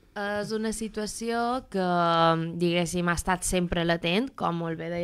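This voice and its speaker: The audio is very clean, and the background is silent. The speaker has an ordinary speaking voice with fairly even intonation. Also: woman. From Mallorca. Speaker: doctoral student and activist. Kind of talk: radio interview.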